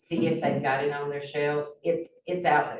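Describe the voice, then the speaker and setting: Speaking at a moderate pace, a woman talks in a Southern US accent. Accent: Southern US (Georgia). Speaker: former county commissioner. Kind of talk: community meeting discussion. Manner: loud.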